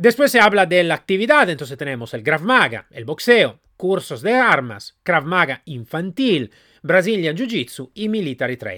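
This man's voice sits high in pitch, with very wide pitch swings, big swings in loudness and a bright, sharp tone at a moderate pace. The sound is dry and close with no echo, on a very clean recording with a silent background. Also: hardly any pauses. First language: Italian (speaking Spanish). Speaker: podcast host reviewing training companies. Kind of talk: solo commentary review. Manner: halting, with fillers.

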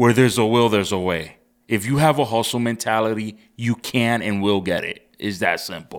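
A man speaks at a moderate pace in a medium pitch with ordinary pitch variation, in a plain, everyday voice. The recording is very clean, the background silent. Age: 30s. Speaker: photographer. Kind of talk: casual chat.

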